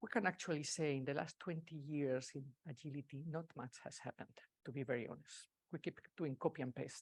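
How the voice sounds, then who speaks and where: Speaking fairly quickly in a Spanish accent, a woman sounds dry and close, with no echo. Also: very clean recording, silent background. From Spain. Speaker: agile consultant and speaker. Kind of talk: conference talk. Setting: meetup stage with audience, hybrid.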